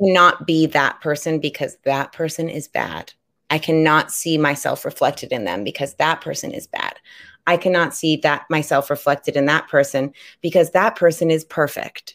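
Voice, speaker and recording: With an American accent, a woman speaks in a very deep, low voice at a moderate pace with ordinary pitch variation. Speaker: podcast co-host. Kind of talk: casual chat. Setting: live stream. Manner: humorous, brassy.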